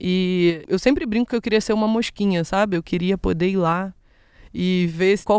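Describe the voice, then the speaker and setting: Dry and close with no echo, the recording has a woman speaking at a moderate pace and medium pitch with fairly even intonation. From Rio de Janeiro, west zone (Brazil). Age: 20s. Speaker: podcast host and educator. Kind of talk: solo educational podcast monologue.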